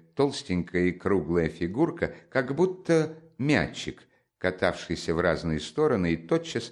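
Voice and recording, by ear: Someone reads a text out loud in a natural voice.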